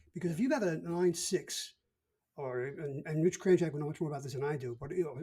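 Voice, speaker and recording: Talking very fast with a Brooklyn accent, a man has a fairly high pitch, ordinary pitch variation and a dark, mellow tone. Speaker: podcast co-host. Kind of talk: casual chat.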